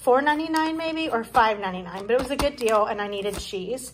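Light background noise accompanies a voice with ordinary pitch variation. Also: woman. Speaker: home vlogger. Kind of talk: casual vlog chat. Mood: upbeat, thrifty. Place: kitchen. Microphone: phone near.

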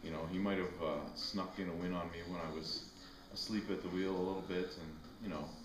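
A man's very deep, low voice at a fairly quick pace, monotone and flat, over noticeable background noise. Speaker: arm wrestler. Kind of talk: promo interview trash talk. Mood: relaxed, confident trash talk. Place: garage. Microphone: camera far.

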